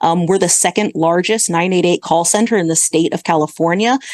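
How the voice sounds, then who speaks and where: A woman with ordinary pitch variation and a fairly low pitch speaks in a normal speaking voice. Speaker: healthcare executive. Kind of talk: podcast interview.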